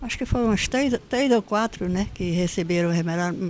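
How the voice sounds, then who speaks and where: On a very clean recording with a silent background, a woman speaks with a dark, mellow tone and lively intonation. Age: 80s+. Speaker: retired school principal. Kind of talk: interview, life story. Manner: halting, with repetitions.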